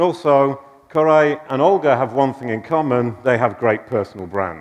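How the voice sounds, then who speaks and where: Moderately paced speech from a man, medium in pitch, with lively intonation. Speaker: conference speaker. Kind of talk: conference talk. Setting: stage with audience. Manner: animated.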